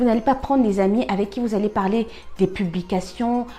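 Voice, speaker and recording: Ordinary pitch variation and a moderate pace in a dark, mellow tone. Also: woman. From Cameroon. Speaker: life-lessons vlogger. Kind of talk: personal advice monologue. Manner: halting, many fillers and repetitions; animated, conversational.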